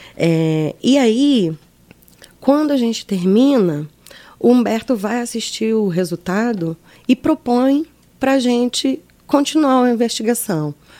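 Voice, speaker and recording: A woman speaks at a very slow pace with a dark, mellow tone. Her intonation is lively. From Mato Grosso do Sul, Brazil. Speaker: actress and arts administrator. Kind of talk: interview.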